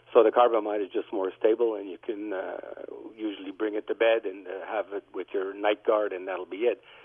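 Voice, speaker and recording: A man speaks at a fairly quick pace. His loudness swings widely. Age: 60s. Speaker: dentist. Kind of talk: call-in expert comment.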